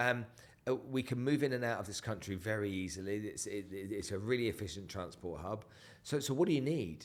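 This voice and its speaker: With an English accent, a man at a fairly low pitch talks at a fairly quick pace with ordinary pitch variation. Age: 50s. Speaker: entrepreneur. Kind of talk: podcast interview.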